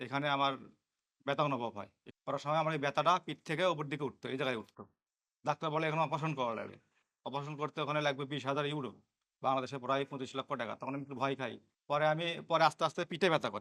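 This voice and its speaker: Heard dry and close with no echo, a man speaks in a fairly high, bright, sharp voice with fairly even intonation. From Bangladesh, Bogura district. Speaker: patient. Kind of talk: testimony.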